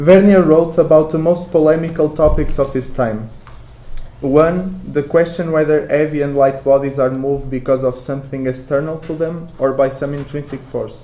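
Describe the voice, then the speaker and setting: A man's fairly high voice with a Portuguese accent and fairly even intonation, amid noticeable background noise and audible room echo. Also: moderate pace. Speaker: academic researcher. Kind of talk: conference talk. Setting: conference with audience.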